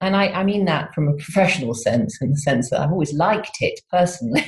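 A somewhat breathy woman with lively intonation. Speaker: university professor in psychology. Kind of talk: interview.

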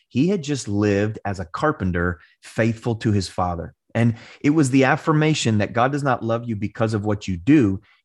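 Over a quiet background, a man with an ordinary speaking voice talks at medium pitch and a moderate pace with lively intonation. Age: 30s. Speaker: pastor and author. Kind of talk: interview conversation.

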